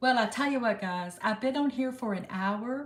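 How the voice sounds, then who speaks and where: A woman talks at a moderate pace in a somewhat breathy voice with an American accent. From United States. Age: 60s. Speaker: live-stream host. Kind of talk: casual live-stream chat. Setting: live stream. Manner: relaxed, chatty.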